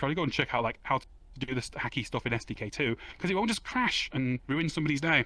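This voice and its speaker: Bright and sharp in tone, a man with a fairly high pitch speaks at a very fast pace. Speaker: game developer giving conference talk. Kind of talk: conference talk. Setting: virtual stage with audience.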